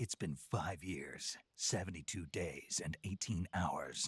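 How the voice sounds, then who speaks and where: In a put-on character voice, a man speaks fairly slowly at a very deep, low pitch, the sound dry and close with no echo. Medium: video game. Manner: terse, dry.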